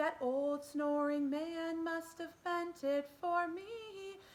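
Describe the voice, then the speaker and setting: An extremely high-pitched put-on character voice from a woman, delivered at a very slow pace. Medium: read story.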